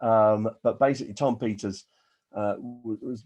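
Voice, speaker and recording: A man speaks with an English accent. His pitch is fairly low. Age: 60s. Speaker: business coach. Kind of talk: webinar presentation. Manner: animated.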